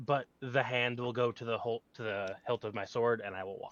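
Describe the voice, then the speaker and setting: At a moderate pace and a medium pitch, a man performs in a put-on character voice. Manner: bad, exaggerated pirate voice.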